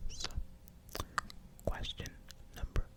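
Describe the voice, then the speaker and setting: Whispering with noticeable background noise behind it. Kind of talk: ASMR casual talk to camera. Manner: whispered.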